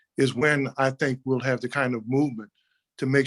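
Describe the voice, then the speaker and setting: This man has a New Orleans accent and a medium pitch, speaking at a fairly quick pace in a monotone, flat intonation. The sound is dry and close, with no echo. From New Orleans, Ninth Ward. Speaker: city councilman. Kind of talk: panel discussion. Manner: halting.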